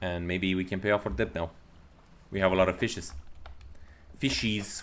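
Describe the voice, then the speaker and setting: Moderate pace, in a Romanian accent. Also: man. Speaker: gaming YouTuber. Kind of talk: gameplay commentary. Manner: halting.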